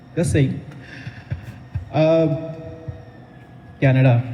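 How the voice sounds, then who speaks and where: Music plays in the background as a man talks at a moderate pace with ordinary pitch variation and audible room echo. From India. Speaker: stand-up comedian. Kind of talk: stand-up. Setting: stage with audience in a coffee house.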